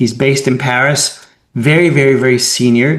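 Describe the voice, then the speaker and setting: Here is an ordinary speaking voice: a man at a medium pitch and moderate pace, with fairly even intonation. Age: 60s. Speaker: webinar moderator and consultant. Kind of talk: webinar discussion.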